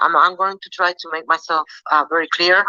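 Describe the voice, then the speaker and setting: In a non-native accent, a woman speaks with a bright, sharp tone in a dry, close sound with no echo. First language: not English. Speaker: fan in audience. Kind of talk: debate comment. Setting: online audio space. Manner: halting.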